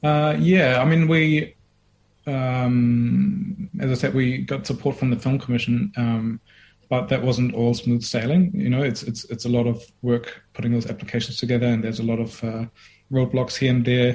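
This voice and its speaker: This man has a medium-pitched, somewhat breathy voice and talks at a moderate pace with ordinary pitch variation. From Germany. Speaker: filmmaker. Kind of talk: interview.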